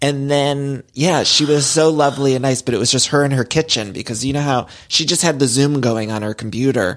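A man with a plain, everyday voice and an American accent speaks at a fairly quick pace with hardly any pauses, in a fairly high pitch with ordinary pitch variation. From US Midwest. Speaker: podcast host. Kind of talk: casual chat.

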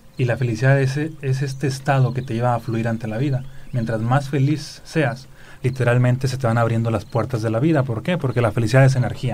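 Fairly quick pace, fairly even intonation and a somewhat breathy quality. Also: man, medium pitch for a man. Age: 30s. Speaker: spiritual speaker and author. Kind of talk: interview.

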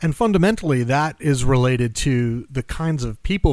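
With ordinary pitch variation and a moderate pace, a man speaks in a normal speaking voice. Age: 40s. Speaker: podcast host. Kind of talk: casual interview podcast. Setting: studio in Washington, D.C.

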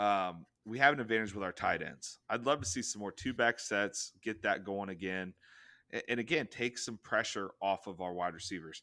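The voice has a bright, sharp tone and ordinary pitch variation, moving at a moderate pace on a very clean recording with a silent background. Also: man, fairly low pitch for a man. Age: 30s. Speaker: sports podcast co-host. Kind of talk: casual chat.

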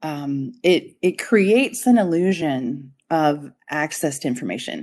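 In an American accent, a woman speaks with an unremarkable speaking voice at a fairly low pitch. Her intonation is lively and the background is quiet. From Colorado, US. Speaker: strategist and adjunct professor. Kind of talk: interview.

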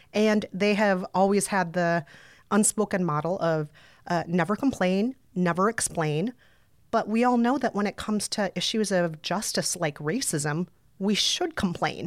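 With an American accent and an ordinary speaking voice, a woman talks at a fairly slow pace and medium pitch with ordinary pitch variation and very even loudness, in a dry, close sound with no echo on a very clean recording with a silent background. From Brooklyn, US. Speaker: podcaster and author. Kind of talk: casual interview chat.

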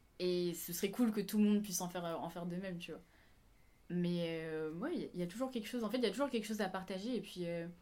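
A woman talking at a very fast pace over music in the background. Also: medium pitch for a woman, ordinary pitch variation. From Réunion. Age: 20s. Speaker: flight attendant, dancer. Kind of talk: casual chat.

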